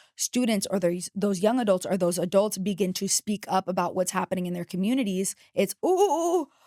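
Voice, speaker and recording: With an American accent, a woman talks at a fairly quick pace in a medium-pitched voice with a dark, mellow tone and ordinary pitch variation, recorded dry and close with no echo. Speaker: podcast host. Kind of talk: casual chat. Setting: studio.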